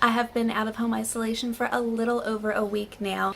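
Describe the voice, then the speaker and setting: Over noticeable background noise, a woman with an American accent talks at a moderate pace in a fairly high pitch and fairly even intonation. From United States. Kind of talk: casual talk to camera.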